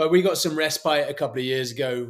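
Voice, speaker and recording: A man with a British accent in a very clean recording with a silent background. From England. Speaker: former special forces soldier and motivational speaker. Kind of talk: podcast interview.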